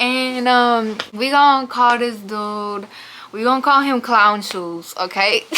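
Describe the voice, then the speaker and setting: Noticeable background noise sits behind a woman with a high voice. She speaks very slowly, and her pitch varies in an ordinary way. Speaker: YouTuber. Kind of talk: storytime. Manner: casual, filler-heavy; quiet.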